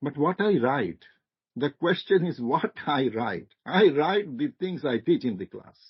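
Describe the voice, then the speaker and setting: A man with a fairly high pitch and vocal fry speaks at a fairly slow pace, his pitch swinging very widely. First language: not English. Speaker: marketing lecturer, guest speaker. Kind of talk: seminar discussion. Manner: halting, repetitive starts.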